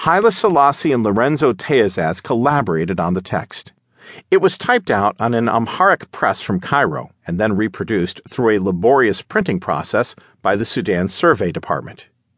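Against a quiet background, a man at medium pitch speaks at a moderate pace in a dramatic, solemn tone with very wide pitch swings. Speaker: audiobook narrator. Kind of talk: audiobook narration of history, dramatic. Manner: dramatic, solemn, measured; formal, declamatory when reading the leaflet.

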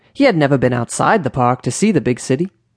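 This man has an ordinary speaking voice at medium pitch with ordinary pitch variation. The sound is dry and close, with no echo. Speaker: audiobook narrator. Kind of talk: bedtime story narration, children's audiobook read aloud.

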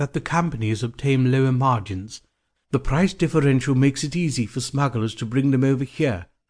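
Quiet background behind a natural reading voice, pitch varying in an ordinary way.

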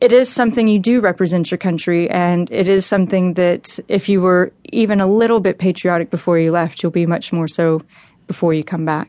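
A woman with an American accent and an ordinary speaking voice, medium in pitch, talks at a fairly quick pace against a quiet background. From Texas. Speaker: American voter living abroad. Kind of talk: interview.

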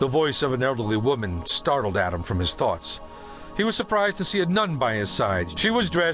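Reading aloud, plain.

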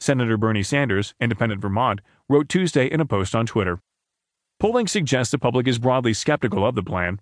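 Talking at a very fast pace, a man keeps his loudness very even and his pitch variation ordinary. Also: medium pitch for a man, dry, close sound with no echo, quiet background. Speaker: audiobook narrator reading newspaper stories. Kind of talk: news reading. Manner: formal, steady and even-paced, neutral newsreader delivery; clear, measured and objective, with little emotion except when reading quotes.

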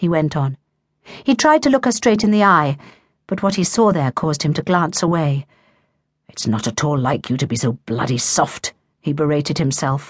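Very wide pitch swings, moderate pace, dry close sound with no echo, quiet background. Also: woman. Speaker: audiobook narrator. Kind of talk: dramatic narration of a romance novel, voicing characters' dialogue. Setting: studio. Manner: measured, emotive storytelling pace.

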